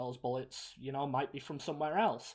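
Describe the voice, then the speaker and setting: Moderately paced speech in an English accent, on a very clean recording with a silent background. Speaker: film review podcast host. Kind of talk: casual chat.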